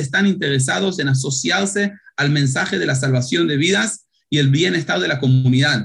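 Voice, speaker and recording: In a normal speaking voice, the speaker keeps a moderate pace and lively intonation. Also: man. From Israel. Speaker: paramedic and startup founder. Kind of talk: interview.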